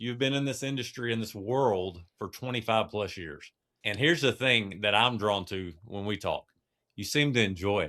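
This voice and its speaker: On a very clean recording with a silent background, a man talks at a moderate pace in a medium pitch, with ordinary pitch variation and a bright, sharp tone. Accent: East Texas. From East Texas. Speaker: podcast co-host. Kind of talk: podcast interview.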